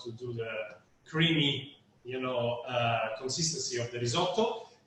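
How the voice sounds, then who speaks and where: Audible room echo and noticeable background noise fill this recording. In it, a man talks at a moderate tempo. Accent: Italian. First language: Italian. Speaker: winery representative. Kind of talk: casual explanation and interpreting during cooking demo.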